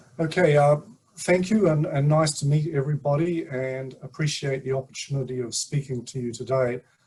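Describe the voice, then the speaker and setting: A man with a New Zealand accent and a fairly high voice. His tone is somewhat breathy. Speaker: sleep scientist. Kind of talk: presentation at online community meeting. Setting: video call.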